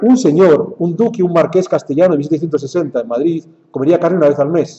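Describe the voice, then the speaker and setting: Speaking with a Spanish accent at a very fast pace, a man keeps a high pitch with ordinary pitch variation. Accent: Spanish (Spain). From Spain. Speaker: lecturer. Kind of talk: lecture.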